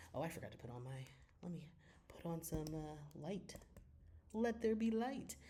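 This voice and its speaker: There is audible room echo around this man's voice. His tone is dark and mellow, his intonation lively. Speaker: sports commentary youtuber. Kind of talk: casual commentary. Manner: fast; loud.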